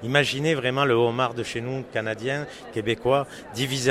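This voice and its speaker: A man talks at a fairly slow pace in a medium pitch. Noticeable background noise sits behind him. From France. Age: 40s. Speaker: chef. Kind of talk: interview. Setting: trade show.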